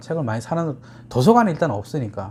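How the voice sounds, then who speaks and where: A man's voice with very wide pitch swings, set against noticeable background noise. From rural Korea, moved to Seoul as a child. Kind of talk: casual talk to camera.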